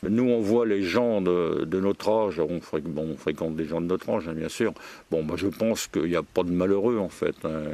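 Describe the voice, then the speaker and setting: At a moderate pace, a man with a very deep, low, dark and mellow voice speaks with ordinary pitch variation on a very clean recording with a silent background. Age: 80s+. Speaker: retiree. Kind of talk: interview. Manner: halting.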